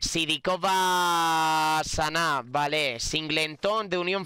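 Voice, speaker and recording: A man's animated voice with a bright, sharp tone, recorded dry with no echo against a quiet background. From Spain. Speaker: gaming youtuber. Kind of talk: gameplay commentary. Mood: frustrated joking in last clip. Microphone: studio mic.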